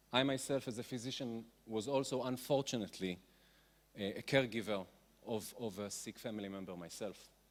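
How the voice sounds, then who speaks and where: This man has an ordinary speaking voice at medium pitch, talking at a fairly quick pace with ordinary pitch variation. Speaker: physician. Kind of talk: conference talk.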